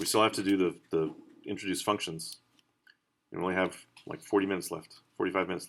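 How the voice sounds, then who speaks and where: A man's very deep, low voice, monotone and flat, at a very fast pace with long, frequent pauses. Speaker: college instructor. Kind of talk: lecture. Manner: halting.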